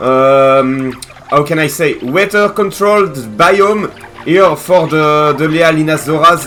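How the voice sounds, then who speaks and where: A man with a French accent speaks very slowly at a fairly high pitch with ordinary pitch variation. Noticeable background noise is present. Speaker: gaming content creator. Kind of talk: gameplay commentary. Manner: hesitant, many fillers.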